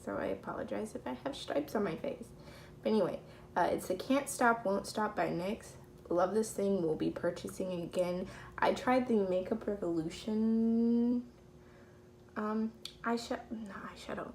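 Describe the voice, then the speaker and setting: Speaking at a moderate pace, a woman with a medium pitch sounds somewhat breathy and shows ordinary pitch variation. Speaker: beauty vlogger. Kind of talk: casual makeup tutorial.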